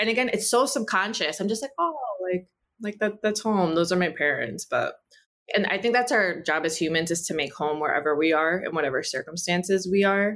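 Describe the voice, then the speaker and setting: Speaking with a Spanish accent, a woman talks at a fairly quick pace in a medium-pitched voice. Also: lively intonation. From US, Cuban American family. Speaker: writer and actor. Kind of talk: interview.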